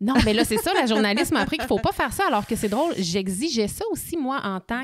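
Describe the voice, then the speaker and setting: Talking fairly quickly with lively intonation, a woman with a fairly high pitch speaks in a Quebec accent. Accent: Québécois French. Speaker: podcast host. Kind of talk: casual chat. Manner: fast.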